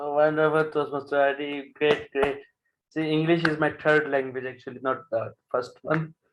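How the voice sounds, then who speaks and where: The speaker has a Punjabi accent and talks at a moderate pace in a flat, monotone way. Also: man, fairly high pitch for a man. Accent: South Asian (Punjabi) English. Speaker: general evaluator at a speaking club. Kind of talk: club meeting chairing.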